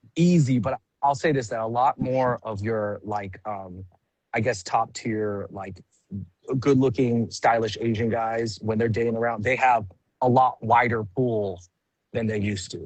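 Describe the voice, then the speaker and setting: A man with an American accent and a plain, everyday voice speaks fairly slowly at a medium pitch with fairly even intonation. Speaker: comedian. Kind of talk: casual chat. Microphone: phone connection, poor video.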